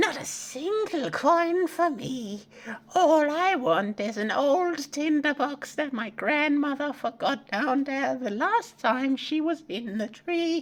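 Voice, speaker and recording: A put-on character voice is pitched high. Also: fairly slow pace. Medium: read story. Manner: sly, wheedling.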